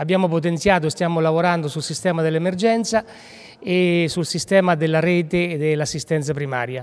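A man speaks at a high pitch and a moderate pace. His pitch varies in an ordinary way. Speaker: health authority director. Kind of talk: interview answer. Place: hall. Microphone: handheld.

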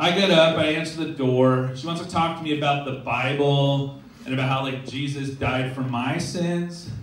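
A man's animated, fairly high-pitched voice at a moderate pace with hardly any pauses, plus audible room echo and light background noise. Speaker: stand-up comedian. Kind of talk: stand-up comedy. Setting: stage with audience. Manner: animated, punchy joke delivery with pauses for laughs. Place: stage. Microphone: camera far.

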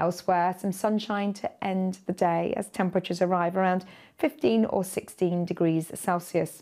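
A woman speaks with a British accent and a dark, mellow tone. The background is quiet. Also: ordinary pitch variation, moderate pace. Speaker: weather presenter. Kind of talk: televised weather forecast, scripted-style delivery over weather maps. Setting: studio. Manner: smooth, measured and friendly, steady broadcast pacing; conversational, guiding viewer through maps. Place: studio.

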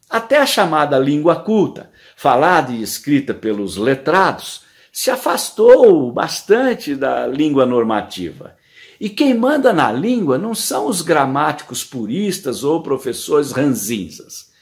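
Against a quiet background, a man speaks at a very slow pace in a fairly high voice with very wide pitch swings. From Brazil. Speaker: columnist. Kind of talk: scripted narration. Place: home room. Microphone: phone near.

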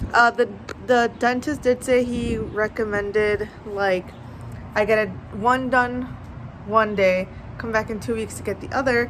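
The speaker goes at a fairly slow pace with fairly even intonation. Light background noise can be heard. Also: woman. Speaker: vlogger. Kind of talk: casual vlog chat. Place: street. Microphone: phone near.

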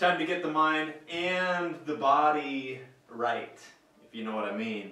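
A man's speech carries audible room echo. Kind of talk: comic character monologue. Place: home room. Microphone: camera far.

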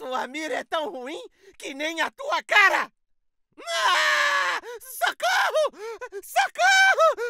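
A man's put-on character voice, extremely high in pitch, very slow, with long, frequent pauses. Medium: voice reel.

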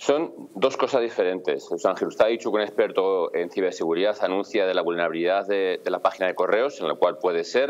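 Hardly pausing at all, a man speaks at a fairly quick clip. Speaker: police officer. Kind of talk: interview. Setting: video call.

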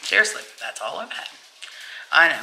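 There is light background noise. A woman speaks at a fairly quick pace. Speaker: home vlogger. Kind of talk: casual vlog chat. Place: home room. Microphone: phone near.

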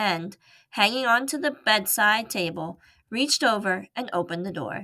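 Reading aloud in a natural voice, the speaker gives the words lively intonation.

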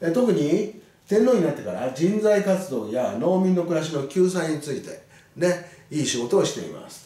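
A man speaks at a moderate pace in a high voice, with big swings in loudness. The room echo is audible. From Japan. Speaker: teacher. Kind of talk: lecture. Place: classroom.

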